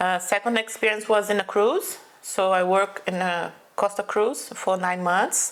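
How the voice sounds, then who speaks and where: Against noticeable background noise, a woman with a medium-pitched voice speaks at a fairly slow pace, her intonation fairly even and her loudness very even. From Brazil, São Paulo. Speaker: food truck owner. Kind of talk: interview.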